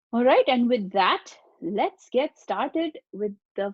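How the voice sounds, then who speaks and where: A woman speaks with an Indian accent at a very slow pace. Her high pitch moves in lively intonation. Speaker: webinar presenter for a nonprofit. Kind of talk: webinar presentation. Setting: online webinar.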